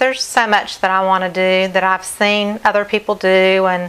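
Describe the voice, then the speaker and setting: A woman with an American accent. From North Carolina, US South. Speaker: acrylic fluid artist. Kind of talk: live stream art demonstration. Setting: live stream at home.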